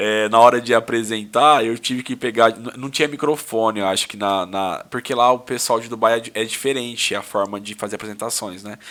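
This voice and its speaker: Loudness swings widely as a man at medium pitch talks at a fairly quick pace with hardly any pauses. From Brazil. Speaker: lawyer and businessman. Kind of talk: casual podcast interview. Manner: animated, informal storytelling.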